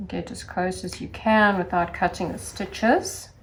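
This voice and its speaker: Speaking at a fairly slow pace, a woman sounds somewhat breathy. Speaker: sewing instructor. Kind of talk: tutorial. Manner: sing-song.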